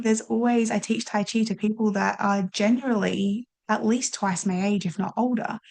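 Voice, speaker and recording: At a moderate pace, a woman speaks in a somewhat breathy, fairly high voice with very even loudness and fairly even intonation. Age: young. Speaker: life coach and podcast host. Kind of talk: casual chat.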